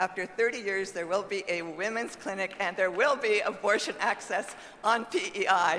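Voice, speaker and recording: Over noticeable background noise, a woman speaks at a medium pitch with fairly even intonation and hardly any pauses. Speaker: party official speaking from the floor. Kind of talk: convention floor comment. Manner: fast.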